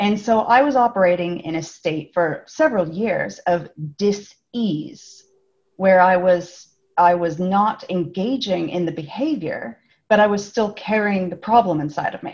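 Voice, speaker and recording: A woman with a somewhat breathy, medium-pitched voice talks at a fairly slow pace with lively intonation. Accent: American. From California, US. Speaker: speaker and author. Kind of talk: casual interview.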